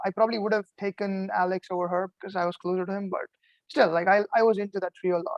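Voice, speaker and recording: Speaking very fast with a non-native accent, a man uses a high pitch and fairly even intonation, the sound dry and close with no echo. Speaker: eliminated reality game contestant. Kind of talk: casual chat. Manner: relaxed, laid back.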